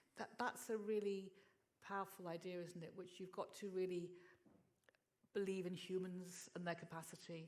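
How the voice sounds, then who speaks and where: Fairly quick speech from a woman, pitched fairly low. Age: 60s. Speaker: festival organiser. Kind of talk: panel discussion Q&A. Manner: halting.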